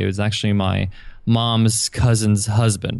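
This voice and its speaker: A man with an American accent speaks in a fairly low pitch with monotone, flat intonation. The background is quiet. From New York, Long Island. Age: 30s. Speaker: entrepreneur. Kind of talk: interview.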